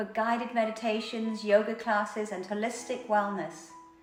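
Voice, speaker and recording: Music plays in the background. Over it, a woman talks at a fairly high pitch. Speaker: meditation guide and yoga teacher. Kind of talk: channel trailer talk to camera. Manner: soft-spoken, slow.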